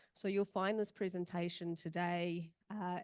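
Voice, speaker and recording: Speaking at a moderate pace with a New Zealand accent, a woman uses a fairly low pitch and a monotone, flat delivery. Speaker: emergency management practitioner and search and rescue volunteer. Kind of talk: conference presentation. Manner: hesitant with many fillers.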